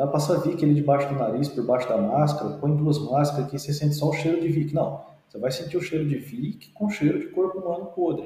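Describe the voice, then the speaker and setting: Over noticeable background noise and audible room echo, a man with a fairly high pitch talks at a very fast pace, his intonation fairly even and hardly any pauses. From interior of São Paulo state, Brazil. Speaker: forensic medical examiner and orthopedist. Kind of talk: podcast interview.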